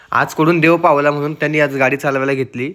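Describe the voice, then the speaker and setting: A man with fairly high pitch and a bright, sharp tone speaks with ordinary pitch variation. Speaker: vlogger. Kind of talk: casual vlog narration.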